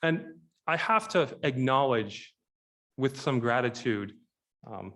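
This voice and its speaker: Lively intonation marks this man's medium-pitched voice. The recording is very clean, with a silent background. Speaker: keynote speaker. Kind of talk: speech. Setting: conference stage with audience. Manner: fast.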